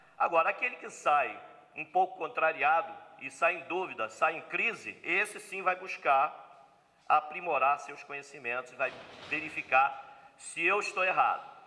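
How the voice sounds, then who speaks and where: This man speaks at a fairly slow pace and a high pitch. His pitch swings very widely, and his loudness swings a lot too. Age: 60s. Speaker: spiritist lecturer. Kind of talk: seminar lecture. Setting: spiritist center seminar with audience.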